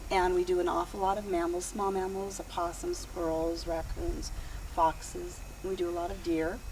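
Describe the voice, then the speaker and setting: Over noticeable background noise and audible room echo, a woman with an American accent talks at a moderate pace. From California, San Joaquin Valley. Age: 60s. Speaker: wildlife rehabilitator. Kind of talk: interview.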